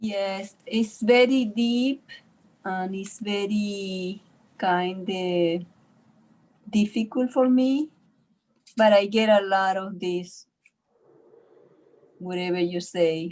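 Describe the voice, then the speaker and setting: Very slowly and with long, frequent pauses, a woman of medium pitch speaks with a non-native accent and ordinary pitch variation. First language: not English. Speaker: class participant. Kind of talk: class discussion. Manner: halting.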